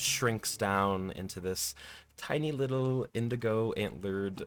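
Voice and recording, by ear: The pitch shifts in an ordinary way. Someone reads the words aloud in a natural voice.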